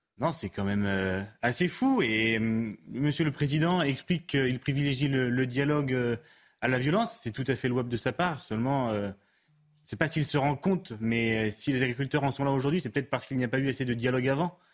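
A man speaks at medium pitch and a moderate pace with ordinary pitch variation. Music plays in the background. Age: 20s. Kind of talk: testimony. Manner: halting.

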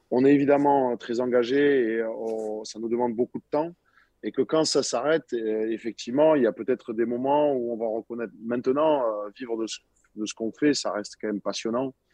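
A man speaks at a medium pitch with a dark, mellow tone. His intonation is fairly even. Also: moderate pace, dry, close sound with no echo. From southern France, Montpellier. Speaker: professional rugby player. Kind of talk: interview.

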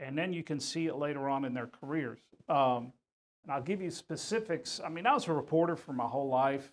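A man with a plain, everyday voice speaks fairly quickly in an American accent. His fairly high pitch varies in an ordinary way. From Houston, Texas. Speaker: retired sports reporter. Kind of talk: interview.

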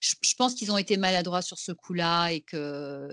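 Set against a quiet background, a woman with a normal speaking voice and fairly low pitch talks at a moderate pace, the sound dry and close with no echo. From Belgium. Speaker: actress and singer. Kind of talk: casual chat.

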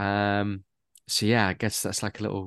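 Against a quiet background, a man talks in a Mancunian accent. His pitch is fairly low and his pace moderate. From Manchester, England. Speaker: actor and radio presenter. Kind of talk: casual interview chat.

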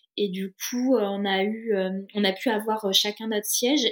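A woman speaks with ordinary pitch variation. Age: 30s. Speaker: single mother and traveller. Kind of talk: casual interview. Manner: hesitant, with many fillers.

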